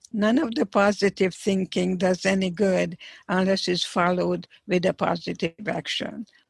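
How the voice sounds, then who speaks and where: In a dry, close sound with no echo, a woman speaks at a moderate pace, somewhat breathy, with very even loudness and fairly even intonation. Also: medium pitch for a woman. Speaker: psychologist, Holocaust survivor. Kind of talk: interview.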